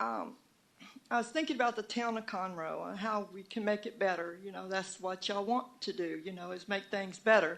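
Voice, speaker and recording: At a moderate pace, a woman with a Southern US accent speaks with ordinary pitch variation. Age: 70s. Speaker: citizen speaking at town hall. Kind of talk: public comment. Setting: town hall meeting at city hall. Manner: halting.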